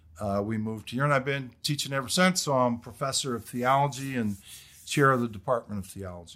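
At a fairly quick pace, a man with an American accent speaks at a medium pitch in a bright, sharp tone with ordinary pitch variation on a very clean recording with a silent background. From US Midwest, Detroit area, Michigan. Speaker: theology professor and former pastor. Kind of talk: casual interview.

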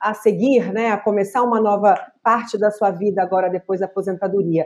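This woman's tone is dark and mellow. She talks at a moderate pace. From Brazil, Minas Gerais. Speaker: podcast host. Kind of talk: casual interview.

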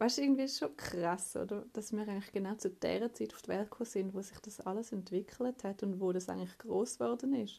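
A woman with a Swiss accent talks with hardly any pauses. Her tone is dark and mellow, with vocal fry. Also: medium pitch for a woman. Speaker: office worker recording voice messages. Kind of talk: casual voice message. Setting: home office desk. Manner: monotone.

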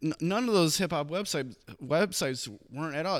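In an American accent, a man with an ordinary speaking voice talks at a moderate pace with ordinary pitch variation, and the recording is very clean with a silent background. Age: 30s. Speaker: podcast host. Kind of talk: casual interview.

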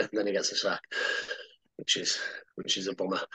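In a Cumbrian accent, a man talks at a very fast pace. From Cumbria, northern England. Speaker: retired rugby league player. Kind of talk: casual interview.

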